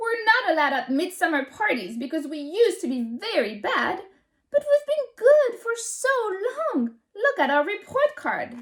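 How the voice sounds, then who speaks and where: Putting on a character voice, a woman sounds gruff and squeaky at an extremely high pitch, her pitch swinging very widely at a moderate pace. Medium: read story. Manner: barking, gruff.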